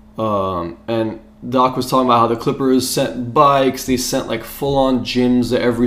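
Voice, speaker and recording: Fairly even intonation from a man with an ordinary speaking voice and medium pitch. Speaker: sports podcast co-host. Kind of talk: casual chat. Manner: casual, chatty.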